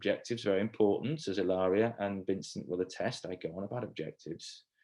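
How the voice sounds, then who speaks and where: Over a quiet background, a man with a southern English accent speaks at a fairly quick pace, his voice showing vocal fry. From England. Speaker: communication skills trainer. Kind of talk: online training session. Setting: video call. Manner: casual, hesitant with fillers.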